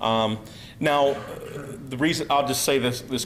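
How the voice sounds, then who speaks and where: Amid noticeable background noise and audible room echo, a man with an American accent speaks at medium pitch with ordinary pitch variation. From US, Pennsylvania. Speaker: researcher, speaker. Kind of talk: conference talk. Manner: halting, many fillers.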